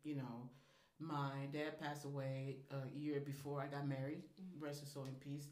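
With an American accent, a woman speaks at a moderate pace in a very deep, low, flat monotone, amid noticeable background noise and audible room echo. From Liberia, West Africa; later Missouri. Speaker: restaurant owner. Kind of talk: casual interview chat.

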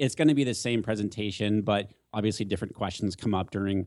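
The very clean recording, with a silent background, captures a man with an American accent speaking at a very fast pace in a fairly low pitch. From San Diego area, California. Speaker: Facebook ads expert. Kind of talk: casual interview Q and A.

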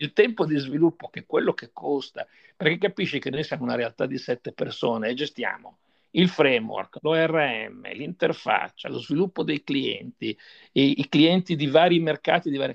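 A man speaks at a moderate pace with a fairly high pitch, ordinary pitch variation and vocal fry. The sound is dry and close, with no echo. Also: quiet background. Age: 60s. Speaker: software developer and company founder. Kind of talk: interview.

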